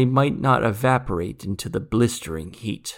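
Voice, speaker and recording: At a medium pitch, a man speaks in a solemn, dramatic tone in a very clean recording with a silent background. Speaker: audiobook narrator and author. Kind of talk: fairy-tale audiobook narration, in-character monologue. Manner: slow, formal, archaic storyteller cadence; solemn, measured, dramatic.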